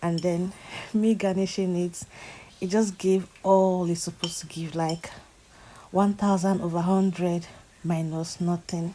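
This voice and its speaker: With a dark, mellow tone and fairly low pitch, a woman speaks at a fairly slow pace in a monotone, flat intonation, leaving long, frequent pauses. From Nigeria. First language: a Nigerian language, not English. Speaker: lifestyle vlogger. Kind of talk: casual vlog voiceover.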